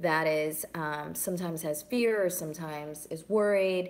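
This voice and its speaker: A woman's plain, everyday voice with fairly even intonation. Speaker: singer-songwriter. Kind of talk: casual live stream chat.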